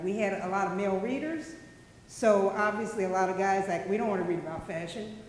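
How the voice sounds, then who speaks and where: A woman talks with a Kansas City accent at a medium pitch and ordinary pitch variation. Noticeable background noise and audible room echo surround her voice. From US Midwest, Kansas City. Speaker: journalist. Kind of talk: panel talk.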